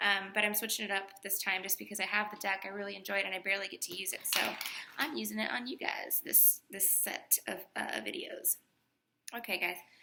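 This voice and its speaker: A soft-spoken woman talks at a fairly quick pace. Her pitch is medium, with ordinary variation. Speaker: tarot reader. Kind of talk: tarot reading. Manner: animated.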